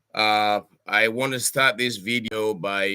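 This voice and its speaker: A bright, sharp male voice of medium pitch, at a fairly slow pace with fairly even intonation, on a very clean recording with a silent background. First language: local Cameroonian language. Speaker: professor. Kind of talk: address to home community. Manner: halting with many fillers.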